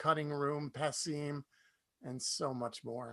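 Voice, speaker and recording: A man speaks in an ordinary speaking voice, his pitch fairly high and his intonation fairly even. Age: 60s. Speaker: folk radio DJ and concert presenter. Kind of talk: introducing a performer at an online concert. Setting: live online concert stream.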